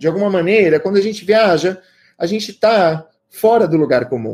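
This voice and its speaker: A man with a dark, mellow tone. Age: 30s. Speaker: writer and creative writing teacher. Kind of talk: lecture.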